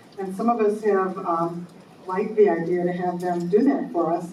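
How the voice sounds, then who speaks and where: A woman keeps a moderate pace while noticeable background noise and audible room echo fill the recording. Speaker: society volunteer. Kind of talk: meeting announcement.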